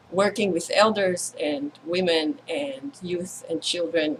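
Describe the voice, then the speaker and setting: Over noticeable background noise, the speech moves at a very slow pace with lively intonation. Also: woman. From Israel. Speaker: event co-host. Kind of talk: opening talk at online women's circle. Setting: video call live stream.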